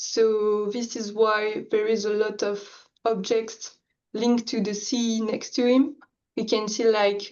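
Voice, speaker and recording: A woman speaks with a French accent at a medium pitch. Her intonation is monotone and flat. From France. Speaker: art challenge participant. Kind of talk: presentation of own artwork. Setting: video call.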